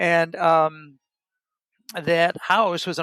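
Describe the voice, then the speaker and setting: A man with an American accent speaks at a fairly high pitch in a bright, sharp tone. The sound is dry and close with no echo, in a very clean recording with a silent background. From US Midwest, Elgin, Illinois. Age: 70s. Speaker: author. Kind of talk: interview. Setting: coffee shop.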